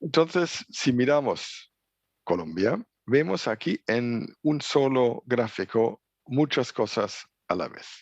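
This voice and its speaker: In a German accent, a man speaks at a very slow pace with lively intonation and big swings in loudness, the sound dry and close with no echo. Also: medium pitch for a man, quiet background. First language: German (speaking Spanish). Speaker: trade logistics expert at international organization. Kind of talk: conference lecture. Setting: remote video link from office. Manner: halting, with fillers.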